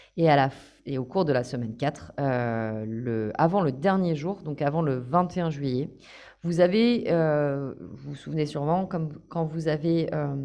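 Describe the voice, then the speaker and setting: Her voice very deep and low with a dark, mellow tone, a woman speaks at a fairly slow pace with lively intonation. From France, Paris. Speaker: course trainer. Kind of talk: online training session.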